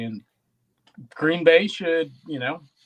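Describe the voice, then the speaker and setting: Lively intonation marks this voice with a Wisconsin accent. The pace is fairly slow. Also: man. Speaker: sports podcast co-host. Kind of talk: casual chat. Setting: live-streamed podcast.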